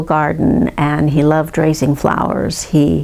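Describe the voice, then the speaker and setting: A woman with an American accent talks while noticeable background noise plays. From US West, Santa Monica, California. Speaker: family history narrator. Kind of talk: oral history recollection. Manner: halting, many fillers.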